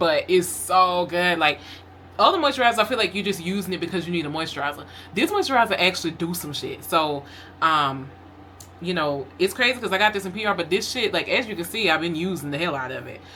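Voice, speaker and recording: A woman with a fairly low pitch talks at a very fast pace with lively intonation. Noticeable background noise sits behind her. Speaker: lifestyle vlogger. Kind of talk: casual vlog talk. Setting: at home. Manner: casual, filler-heavy; talking kind of low.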